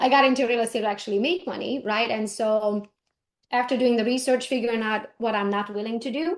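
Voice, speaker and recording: Speaking at a very fast pace with a non-native accent, a woman uses a fairly high pitch with ordinary variation against a quiet background. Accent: foreign. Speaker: real estate agent and business coach. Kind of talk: interview conversation. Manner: animated.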